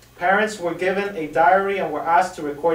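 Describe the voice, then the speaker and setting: A man talks at a high pitch with noticeable background noise around him. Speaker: student presenting in class discussion. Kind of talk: classroom presentation of a study. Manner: fast.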